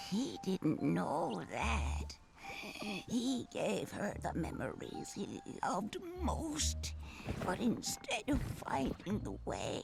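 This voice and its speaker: Over clear background noise, a woman uses a cartoonish character voice at a very slow pace. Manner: slow, hushed storytelling.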